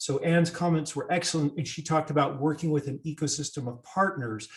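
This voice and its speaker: A man talks in a fairly high pitch with an American accent and ordinary pitch variation. He has a normal speaking voice. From United States. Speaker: digital economy expert, panelist. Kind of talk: panel discussion.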